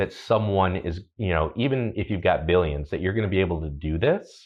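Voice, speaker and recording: A man with an American accent, very deep, low pitch and lively intonation. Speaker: automotive journalist. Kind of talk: casual chat. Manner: hesitant, many fillers.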